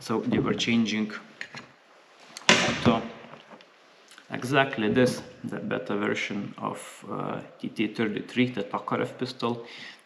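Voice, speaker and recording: A man speaks fairly slowly, leaving long, frequent pauses, while noticeable background noise sounds behind him. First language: not English (English is third language). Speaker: gun reviewer. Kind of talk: product review. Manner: halting, many fillers.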